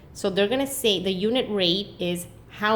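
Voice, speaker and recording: At a fairly slow pace, a woman with an ordinary speaking voice talks at medium pitch with ordinary pitch variation. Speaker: math teacher. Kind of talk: tutorial.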